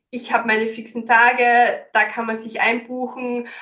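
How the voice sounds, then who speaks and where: At a very slow pace, a woman speaks in a fairly high, monotone voice with a bright, sharp tone. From Austria, Styria. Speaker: business consultant and coach. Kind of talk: interview. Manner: many fillers (ähm).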